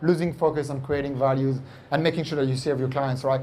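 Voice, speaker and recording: A man with a French accent, plus audible room echo. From France. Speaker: entrepreneur. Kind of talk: onstage interview. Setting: stage with audience. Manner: animated.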